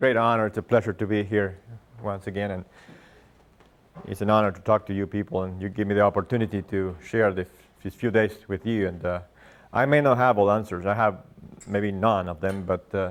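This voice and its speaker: With a Spanish accent, a man speaks at a fairly low pitch in fairly even intonation, leaving long, frequent pauses. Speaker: agronomist and grazing instructor; grazing instructor. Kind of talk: lecture. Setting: classroom with live audience. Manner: halting, many fillers. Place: meeting room. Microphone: lapel.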